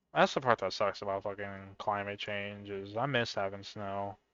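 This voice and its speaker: A man speaks at a fairly slow pace with a fairly low pitch. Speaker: gaming streamer. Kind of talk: casual gameplay commentary. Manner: loud.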